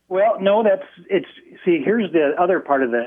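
A man with an American accent speaks at a moderate pace and with lively intonation, in an ordinary speaking voice. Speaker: public school employee. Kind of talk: call-in radio comment. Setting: phone call.

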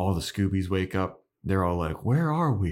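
With lively intonation, a man speaks in a very deep, low voice on a very clean recording with a silent background. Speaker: podcast host. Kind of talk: casual chat.

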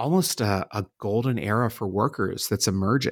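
A man's medium-pitched voice at a fairly slow pace, ordinary pitch variation, dry and close with no echo, very clean recording over a silent background. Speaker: author and demographic futurist. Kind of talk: interview. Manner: hesitant with filler words.

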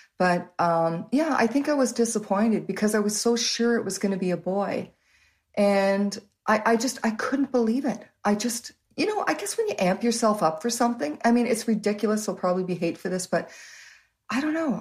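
With a Canadian accent, a woman talks at a moderate pace in a fairly high, somewhat breathy voice with lively intonation. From Canada, Waterloo Ontario. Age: 60s. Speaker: host's mother. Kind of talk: interview. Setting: video call.

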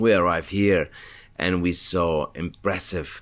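A man's very deep, low voice at a fairly slow pace, in a very clean recording over a silent background. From Spain. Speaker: winery owner. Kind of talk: interview. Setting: winery. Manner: halting.

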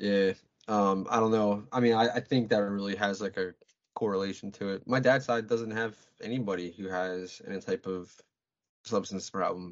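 At a moderate pace, a man talks in a normal speaking voice, fairly low in pitch and with fairly even intonation. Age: 30s. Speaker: guest in recovery from addiction. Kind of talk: casual chat.

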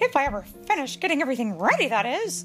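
A woman puts on a high-pitched character voice and races along very fast. Clear music plays in the background.

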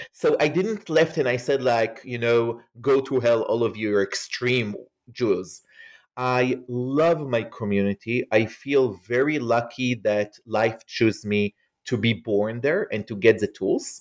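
A man with an Israeli accent, fairly slow pace and ordinary pitch variation. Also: medium pitch for a man. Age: 40s. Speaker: scholar and author. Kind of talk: interview.

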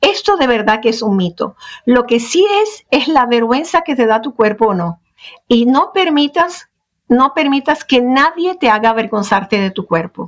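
A woman's high voice at a fairly slow pace, full of very wide pitch swings. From Venezuela, Middle Eastern family. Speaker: sex and life coach. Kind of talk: interview. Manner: halting.

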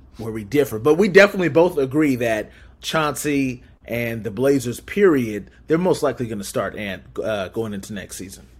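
This man has a normal speaking voice, medium in pitch, moving at a moderate pace with lively intonation and big swings in loudness. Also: very clean recording, silent background. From Southern California. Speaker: sports podcast guest. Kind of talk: casual sports podcast chat.

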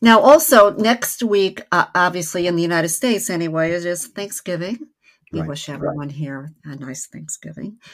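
A woman's normal speaking voice, fairly low in pitch, with lively intonation and big swings in loudness. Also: moderate pace. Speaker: podcast co-host and family therapist. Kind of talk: casual live podcast chat. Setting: live online broadcast.

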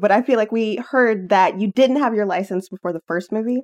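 Using a normal speaking voice, a woman talks at a fairly quick pace with a fairly high pitch and lively intonation. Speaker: podcast co-host. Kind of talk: casual conversational podcast.

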